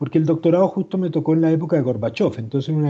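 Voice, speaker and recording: A man talks at a very fast pace in a Chilean accent. His voice is somewhat breathy, with ordinary pitch variation. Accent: Chilean, still retained. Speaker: historian and author. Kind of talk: interview. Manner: halting.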